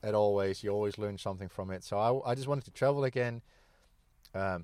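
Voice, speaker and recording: The speaker talks at a fairly quick pace with ordinary pitch variation. The recording is very clean, with a silent background. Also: man. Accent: Dutch. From Netherlands. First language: Dutch. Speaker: ex-military charity walker. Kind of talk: casual interview chat. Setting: outdoors at a campsite. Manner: halting, many fillers and repeats.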